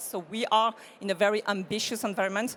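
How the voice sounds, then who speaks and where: A woman with a French accent speaks at a medium pitch. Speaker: corporate sustainability expert. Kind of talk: panel discussion.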